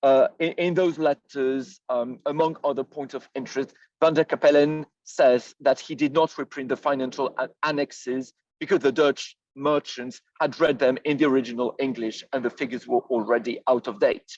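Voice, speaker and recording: With a French accent, a man speaks at a moderate pace in a fairly high pitch and fairly even intonation, the sound dry and close with no echo. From France. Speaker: historian. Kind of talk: lecture. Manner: halting, many fillers.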